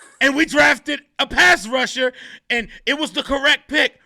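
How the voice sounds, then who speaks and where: An animated man speaks in a raised, projected voice of extremely high pitch, with a bright, sharp tone, ordinary pitch variation, and a dry, close sound with no echo. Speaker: podcast co-host. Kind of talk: casual sports podcast discussion. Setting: podcast recording. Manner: loud.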